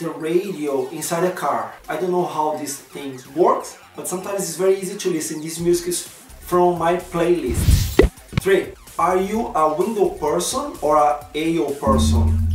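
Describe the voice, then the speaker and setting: Speaking at a fairly slow pace with a strong Brazilian accent, a man uses a high pitch and ordinary pitch variation, with music in the background and audible room echo. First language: Portuguese. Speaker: vlogger. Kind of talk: casual vlog chat. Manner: non-native halting English.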